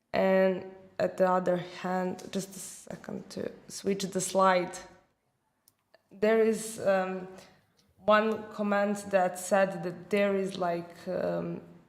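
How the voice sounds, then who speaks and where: A woman speaks at a very slow pace with monotone, flat intonation and long, frequent pauses. Audible room echo is present. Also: medium pitch for a woman. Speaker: marketing manager. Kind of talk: casual discussion. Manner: halting.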